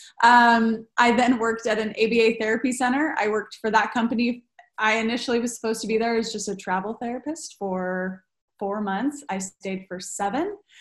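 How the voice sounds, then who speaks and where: Speaking fairly quickly, a woman keeps her fairly high voice in a fairly even intonation. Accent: Californian. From Southern California, Redlands. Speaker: speech-language pathologist. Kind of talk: casual chat.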